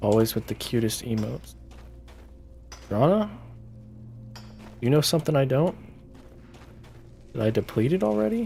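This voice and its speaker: With music in the background, a man speaks in a relaxed tone at a moderate pace, leaving long, frequent pauses. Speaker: gaming live streamer. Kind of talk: casual live-stream gameplay chat. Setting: live stream at night from home. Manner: soft-spoken, not loud; relaxed, chill. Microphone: good streaming mic, clear sound.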